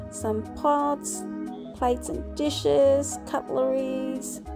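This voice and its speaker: The speaker is a woman. Music plays clearly behind her. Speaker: travel vlogger. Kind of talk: casual vlog chat. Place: market. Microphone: phone near.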